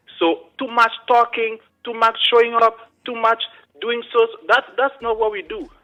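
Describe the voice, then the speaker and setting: A man with an African accent speaks at an extremely high pitch and a moderate pace, with fairly even intonation and big swings in loudness. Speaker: caller. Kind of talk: call-in comment. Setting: phone call.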